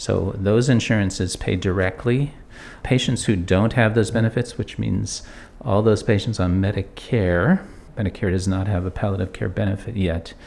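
An ordinary speaking voice from a man with fairly low pitch, ordinary pitch variation and a moderate pace. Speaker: medical director. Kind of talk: interview soundbite in news report.

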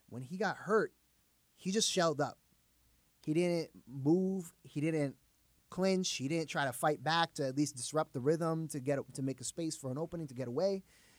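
Here is a plain, everyday voice with ordinary pitch variation at a moderate pace. The sound is dry and close, with no echo. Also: man, fairly high pitch for a man. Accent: American. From New York City, the Bronx. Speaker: podcast host, martial arts coach. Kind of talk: casual chat.

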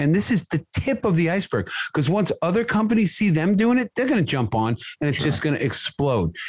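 Heard with a dry, close sound and no echo, the voice carries an American accent and very wide pitch swings. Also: man. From US. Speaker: contractor. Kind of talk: casual chat.

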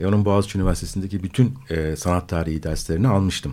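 A man's voice with a dark, mellow tone. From Istanbul, Turkey. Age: 50s. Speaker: philosopher. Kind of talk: radio discussion. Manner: halting, many filler sounds.

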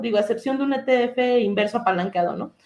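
Words arrive at a fairly quick pace in a dark, mellow tone. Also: woman. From Durango, Mexico. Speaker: economist and academic researcher. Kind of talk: interview conversation.

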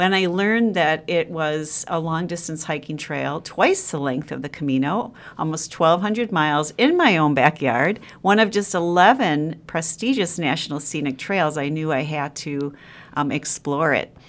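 A woman speaks in a Wisconsin accent with a very deep, low pitch. The recording is very clean, with a silent background. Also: ordinary pitch variation, moderate pace. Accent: Upper Midwest (Wisconsin). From Wisconsin (Sheboygan). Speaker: freelance travel writer and long-distance hiker. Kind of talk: interview.

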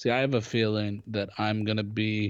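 Against a quiet background, a man speaks at a fairly low pitch with monotone, flat intonation. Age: 20s. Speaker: podcast co-host, actor. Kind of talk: casual chat.

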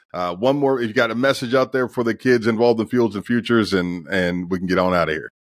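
The speech moves at a very fast pace with hardly any pauses. Pitch varies in an ordinary way. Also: man, medium pitch for a man. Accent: American. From Youngstown, Ohio. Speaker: podcast host, former college football player. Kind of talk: interview.

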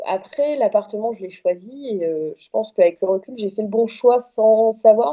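Speaking with hardly any pauses, a woman with an unremarkable speaking voice and fairly high pitch shows ordinary pitch variation and big swings in loudness. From France, Corrèze. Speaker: radio journalist. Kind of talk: casual chat.

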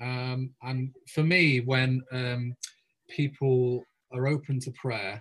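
This speaker, somewhat breathy and with an English accent, talks in a monotone, flat intonation. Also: man. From England. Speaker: pastor. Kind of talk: interview.

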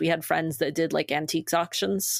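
This woman speaks with an American accent at a fairly low pitch. Her voice has vocal fry. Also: very clean recording, silent background. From Maine, US. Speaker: nonprofit staff member and co-founder. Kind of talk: casual interview.

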